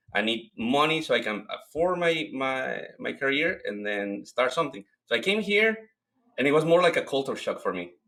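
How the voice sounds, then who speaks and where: The speaker talks at a moderate pace in a Mexican accent. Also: man. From Mexico. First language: Spanish. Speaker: cleaning business owner. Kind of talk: interview.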